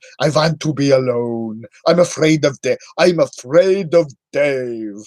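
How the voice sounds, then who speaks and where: Using a put-on character voice, a man speaks in a theatrical tone at a fairly high pitch and a fairly slow pace. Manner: drawn-out vowels, theatrical.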